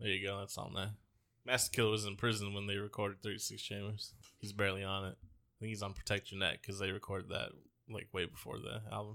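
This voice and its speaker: A man speaks very fast in a fairly low, animated voice with a bright, sharp tone. The recording is very clean, with a silent background. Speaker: podcast host. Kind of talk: casual banter. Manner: joking, rambling, animated.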